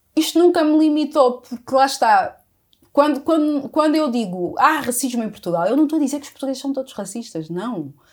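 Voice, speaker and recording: A woman at a high pitch with lively intonation and a fairly quick pace. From Angola, with ten years in South Africa. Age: 30s. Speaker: entrepreneur and writer. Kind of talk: casual interview.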